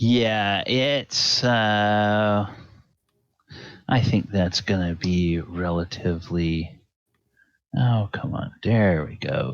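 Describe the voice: At a very slow pace, a man speaks with fairly low pitch and lively intonation.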